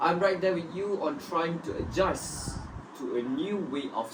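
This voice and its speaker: Speaking at a fairly slow pace in a Malaysian accent, the voice comes through noticeable background noise. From Malaysia, Pahang (Kuantan). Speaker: student. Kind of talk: scripted group discussion.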